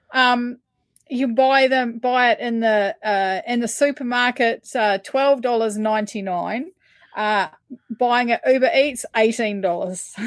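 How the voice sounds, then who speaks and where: Using a New Zealand accent, a woman with a high pitch talks at a fairly slow pace. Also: ordinary pitch variation. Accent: New Zealand accent, remarked on by host. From New Zealand, Taranaki. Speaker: rideshare driver. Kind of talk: casual chat. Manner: halting, many fillers.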